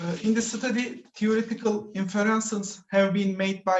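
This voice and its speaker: A man with a Turkish accent talks at a fairly slow pace with fairly even intonation. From Turkey. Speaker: PhD student presenter. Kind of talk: conference presentation. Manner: halting.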